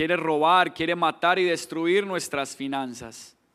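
With a Colombian accent, a man speaks at a fairly slow pace in a high pitch, his intonation fairly even. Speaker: pastor. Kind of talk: sermon.

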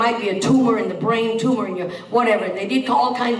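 Fairly quick speech from a woman with ordinary pitch variation over noticeable background noise. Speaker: guest preacher. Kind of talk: sermon. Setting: church.

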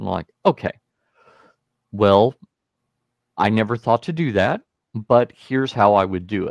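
The voice moves at a fairly slow pace with long, frequent pauses and ordinary pitch variation, recorded with a dry, close sound and no echo. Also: man, fairly low pitch for a man. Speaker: church tech trainer. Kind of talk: casual interview. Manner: slow talker.

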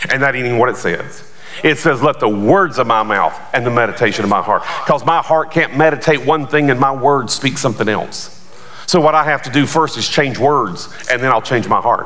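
Over noticeable background noise, a man with an animated tone and lively intonation speaks at a medium pitch and a fairly quick pace. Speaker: pastor. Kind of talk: sermon. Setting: church with congregation. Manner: animated, forceful preaching, call-and-response; emphatic, rising and fast in full flow.

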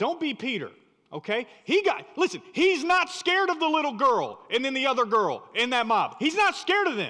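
In a raised, projected voice with an American accent, a man speaks at a moderate pace with an extremely high pitch, a bright, sharp tone and very wide pitch swings. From rural North Carolina. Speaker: guest preacher. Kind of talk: sermon. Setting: church.

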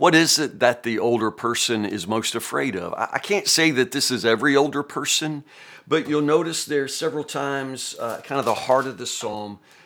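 A man's bright, sharp tone with a Southern US accent at a moderate pace, on a very clean recording with a silent background. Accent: US South. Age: 50s. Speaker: pastor. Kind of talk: Bible teaching. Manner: casual, conversational.

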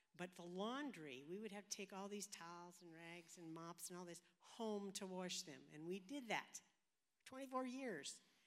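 A woman's plain, everyday voice at medium pitch, fairly slow in pace, with lively intonation. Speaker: youth ministry leader, retired. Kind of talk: interview in church service. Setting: church.

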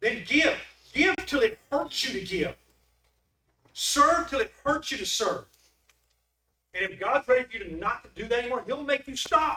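A man uses a raised, projected voice at an extremely high pitch, bright and sharp in tone, with very wide pitch swings. He keeps a moderate pace, with big swings in loudness and long, frequent pauses. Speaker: preacher. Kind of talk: sermon. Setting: church. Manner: animated.

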